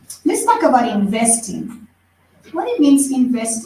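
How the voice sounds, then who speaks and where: Her voice is high and her pace is moderate. Audible room echo surrounds this woman. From Ecuador. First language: Spanish. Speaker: teacher and motivational speaker. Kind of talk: presentation to an audience.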